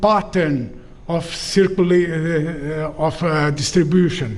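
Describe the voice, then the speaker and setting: A man with a non-native accent speaks at a very slow pace. Audible room echo and noticeable background noise are present. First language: not English. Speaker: professor. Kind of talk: lecture. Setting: auditorium with audience. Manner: halting, with many fillers.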